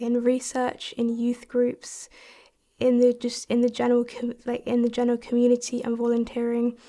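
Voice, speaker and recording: A woman with a high-pitched voice speaks in a dark, mellow tone. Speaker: young researcher. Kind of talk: interview testimony.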